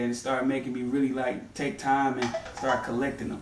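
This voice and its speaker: A man talks at a fairly quick pace in a fairly high voice. There is audible room echo and light background noise. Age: 20s. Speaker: sneaker collector. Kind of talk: casual interview. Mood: relaxed, enthusiastic. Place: home room. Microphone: camera far.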